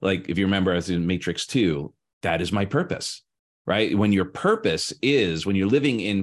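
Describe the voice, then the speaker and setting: In a fairly low pitch, a man talks at a moderate pace against a quiet background. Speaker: podcast co-host and coach. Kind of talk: casual chat. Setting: live stream. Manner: elaborate, wordy phrasing.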